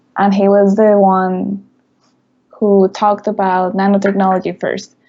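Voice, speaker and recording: A woman with a Spanish accent and monotone, flat intonation. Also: medium pitch for a woman, fairly slow pace. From Mexico. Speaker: university student. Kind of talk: interview.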